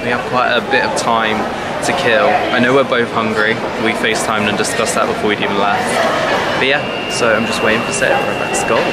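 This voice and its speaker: Very fast speech comes from a man. Behind him is loud background noise. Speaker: vlogger. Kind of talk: casual vlog chat. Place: station. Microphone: phone near.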